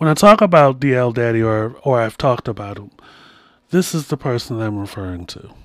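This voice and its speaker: A man's unremarkable speaking voice at a medium pitch and fairly quick pace, with lively intonation and big swings in loudness. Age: 40s. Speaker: podcast host. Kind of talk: solo monologue with storytelling and advice.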